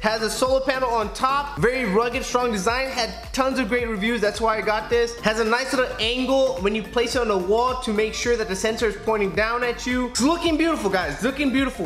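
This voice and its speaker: Music plays in the background. The speech runs at a very fast pace with hardly any pauses. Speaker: product reviewer. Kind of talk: product review vlog. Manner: animated.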